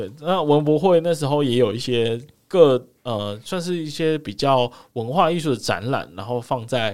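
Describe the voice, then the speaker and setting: With a Taiwanese accent, a man speaks at a medium pitch and a moderate pace with lively intonation. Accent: Taiwanese Mandarin. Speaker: podcast co-host. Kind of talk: casual chat.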